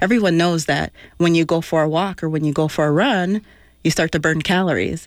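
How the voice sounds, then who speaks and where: An ordinary speaking voice moves at a fairly quick pace with ordinary pitch variation and very even loudness. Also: woman, fairly low pitch for a woman. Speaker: naturopathic doctor. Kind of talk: radio interview. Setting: studio.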